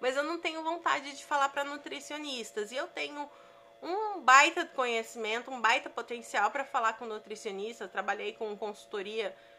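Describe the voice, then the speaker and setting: Pitched high, a woman's voice proceeds at a moderate pace. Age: 30s. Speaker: digital business coach. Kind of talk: podcast monologue from a live stream. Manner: conversational, with fillers.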